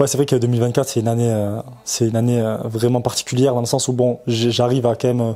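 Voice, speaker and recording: Monotone and flat, a man's medium-pitched voice races along at a very fast pace. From France, Toulouse. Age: 30s. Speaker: professional runner. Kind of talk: interview. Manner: halting, many fillers; casual.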